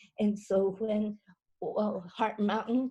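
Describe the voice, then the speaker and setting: A dark, mellow tone in an American accent, at a very slow pace. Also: woman. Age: 80s. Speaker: Japanese American incarceration survivor. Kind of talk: personal testimony. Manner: halting, many fillers and repetitions.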